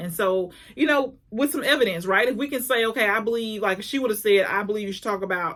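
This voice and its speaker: A woman's speech, with ordinary pitch variation, comes through noticeable background noise. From small town. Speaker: personal development coach and speaker. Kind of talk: motivational talk to camera. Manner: fast; halting, repeats words.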